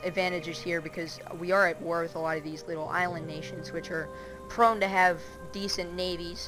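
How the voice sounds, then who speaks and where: A woman's fairly low, monotone, flat voice at a fairly quick pace, with music in the background. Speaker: gaming video creator. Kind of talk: gameplay commentary. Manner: hesitant, many filler words.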